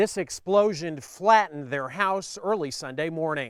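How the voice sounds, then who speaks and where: Lively intonation at a fairly slow pace, on a very clean recording with a silent background. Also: man. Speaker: television news reporter. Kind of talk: TV news reporter package.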